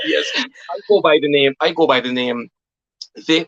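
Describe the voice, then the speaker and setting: A man with a Jamaican accent at a very slow pace, fairly high pitch and fairly even intonation, in a dry, close sound with no echo. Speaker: poet and author. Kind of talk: interview.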